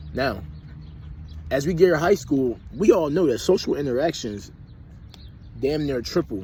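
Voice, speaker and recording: With an American accent, a man with fairly high pitch, a dark, mellow tone and vocal fry speaks at a moderate pace, using lively intonation and long, frequent pauses. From US, Philadelphia. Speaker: vlogger. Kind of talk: personal reflection monologue. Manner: animated.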